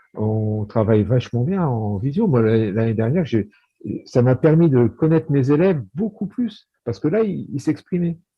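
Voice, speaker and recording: A man speaks at a moderate pace and medium pitch. His voice is somewhat breathy, with very wide pitch swings. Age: 60s. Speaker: high school maths and physics teacher. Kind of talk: casual chat. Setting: video call. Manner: halting.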